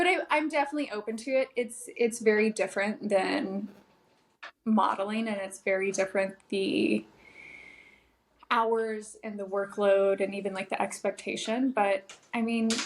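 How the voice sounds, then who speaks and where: A woman's fairly high voice with a Californian accent and ordinary pitch variation. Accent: General American, Californian. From Los Angeles, San Fernando Valley. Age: 30s. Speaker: model. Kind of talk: podcast interview.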